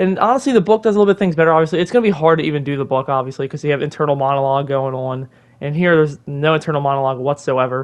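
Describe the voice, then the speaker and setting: Intonation rises and falls in a lively way. The words come out very fast. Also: man. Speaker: movie reviewer. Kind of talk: casual video review.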